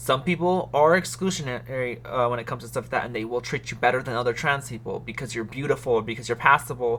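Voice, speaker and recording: Talking at a fairly quick pace, a woman has a very deep, low pitch, a bright, sharp tone and ordinary pitch variation. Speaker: YouTuber giving advice. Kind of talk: casual vlog talk. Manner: casual, with false starts.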